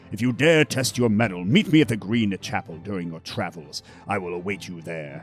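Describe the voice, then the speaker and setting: A man puts on a gruff character voice, fairly low in pitch, talking at a fairly quick clip with lively intonation and big swings in loudness over music in the background. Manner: challenging, commanding.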